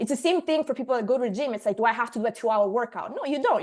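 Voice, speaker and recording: The speaker has an Italian accent. The pitch swings very widely. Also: woman. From Sicily, Italy. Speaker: marketing agency owner, presenter. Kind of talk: online workshop presentation.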